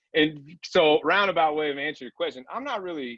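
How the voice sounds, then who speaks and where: Speaking at a fairly quick pace with a Southern accent, a man sounds animated. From southern Indiana. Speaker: apparel company founder. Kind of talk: podcast interview.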